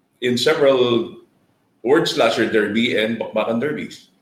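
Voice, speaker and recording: The speaker is a man with a fairly slow delivery. Room echo can be heard. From Philippines. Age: 50s. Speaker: gamefowl breeder. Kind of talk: interview.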